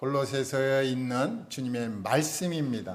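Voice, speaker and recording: The room has audible echo. A man talks at a fairly high pitch. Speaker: pastor. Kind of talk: sermon. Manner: slow, unhurried.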